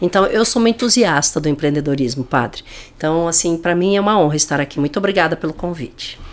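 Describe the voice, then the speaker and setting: A woman at a very fast pace, fairly low in pitch, with lively intonation. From Paraná, Brazil (Francisco Beltrão). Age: 60s. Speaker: business leader. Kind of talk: podcast interview.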